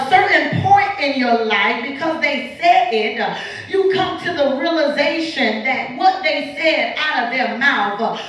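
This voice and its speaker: Strong room echo surrounds the recording. A woman talks at a fairly slow pace in a high pitch. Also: lively intonation. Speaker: guest preacher. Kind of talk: sermon. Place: church. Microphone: camera far.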